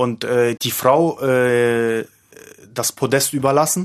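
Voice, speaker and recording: A man speaks at a very slow pace and a fairly high pitch. The sound is dry and close, without echo. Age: 30s. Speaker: male escort. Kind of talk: interview. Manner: halting.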